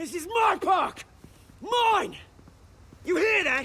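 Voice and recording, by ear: A man puts on a character voice, pitched extremely high with a bright, sharp tone. He speaks at a slow pace with lively intonation.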